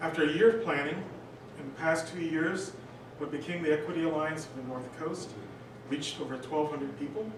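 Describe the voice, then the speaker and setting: In an American accent, a man talks at a fairly quick pace with long, frequent pauses and big swings in loudness, amid noticeable background noise and audible room echo. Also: fairly high pitch for a man, ordinary pitch variation. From US South, Columbus, Georgia. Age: 60s. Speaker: nonprofit leadership program manager. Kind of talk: talk at a club meeting.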